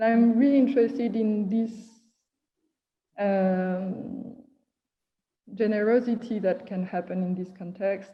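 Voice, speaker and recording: A woman speaks at a fairly slow pace with long, frequent pauses. Her somewhat breathy voice keeps fairly even intonation. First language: not English. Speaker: artist and performer. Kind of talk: casual chat. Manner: halting.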